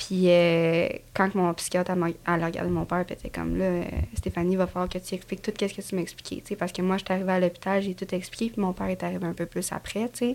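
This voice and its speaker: A woman with a medium pitch talks at a very fast pace in a monotone, flat intonation. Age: 20s. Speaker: construction painter and TikTok creator. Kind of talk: casual interview chat.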